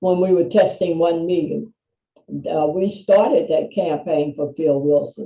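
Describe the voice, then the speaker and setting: At a moderate pace, a woman speaks in a fairly low pitch with a dark, mellow tone and ordinary pitch variation. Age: 80s+. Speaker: HIV prevention non-profit founder and minister. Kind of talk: interview.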